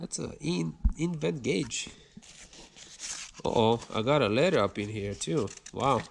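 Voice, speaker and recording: A man with a non-native accent at a very slow pace. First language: not English. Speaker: car YouTuber. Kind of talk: casual unboxing video. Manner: animated.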